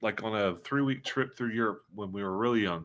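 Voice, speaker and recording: A man with a Southern US accent, fairly low in pitch, at a very fast pace, on a very clean recording with a silent background. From US South. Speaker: tabletop game streamer. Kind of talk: casual chat. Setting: live stream.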